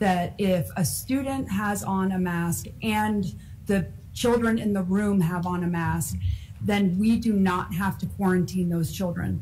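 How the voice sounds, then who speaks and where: A woman speaks at a fairly slow pace with ordinary pitch variation. There is light background noise. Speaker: school board member. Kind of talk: public meeting. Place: meeting room. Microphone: podium.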